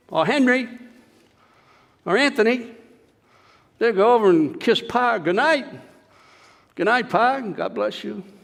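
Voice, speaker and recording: Lively intonation at a fairly slow pace, with long, frequent pauses and audible room echo. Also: man, extremely high pitch for a man. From New England. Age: 80s+. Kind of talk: sermon. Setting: church. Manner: conversational.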